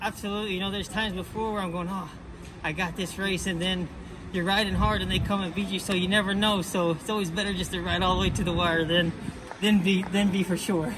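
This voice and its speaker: A man's high, monotone, flat voice at a very fast pace over noticeable background noise. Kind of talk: interview answer. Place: stadium. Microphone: phone near.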